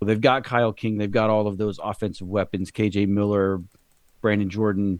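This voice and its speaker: With a plain, everyday voice, a man talks at a fairly quick pace and fairly low pitch over a quiet background. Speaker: podcast co-host. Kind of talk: podcast discussion.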